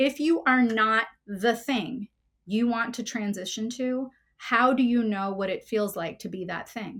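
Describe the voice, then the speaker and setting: At a fairly slow pace, a woman with an American accent speaks at a fairly high pitch with ordinary pitch variation in a normal speaking voice. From New Jersey. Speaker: counselor. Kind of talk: interview.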